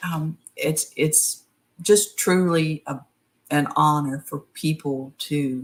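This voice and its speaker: With a strong West Virginia accent, a woman talks in a very deep, low voice and fairly even intonation. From West Virginia, Appalachia. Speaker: horror author. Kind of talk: interview.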